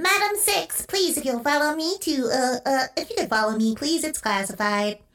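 Using a put-on character voice pitched high, the speaker moves at a moderate pace with hardly any pauses. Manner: polite, formal, robotic.

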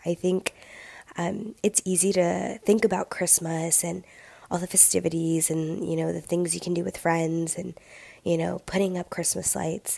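A woman speaks at a moderate pace in a dark, mellow tone with a slightly husky edge, vocal fry, a fairly low pitch and little pitch movement.

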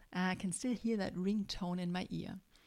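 A woman's ordinary speaking voice at a medium pitch, fairly slow, with ordinary pitch variation, in a very clean recording with a silent background. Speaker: podcast host, life coach for moms. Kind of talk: solo motivational podcast monologue.

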